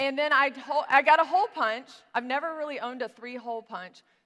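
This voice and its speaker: A woman with an American accent talks at a fairly quick pace in a high pitch, her tone bright and sharp and her loudness swinging widely. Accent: Southern US, coming out strong today. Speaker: business coach. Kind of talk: tutorial. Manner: casual, chatty.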